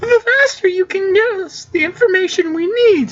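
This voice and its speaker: An extremely high, squeaky put-on character voice. It moves along at a moderate pace. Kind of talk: read-aloud game role voice. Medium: game stream. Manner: brisk, professional.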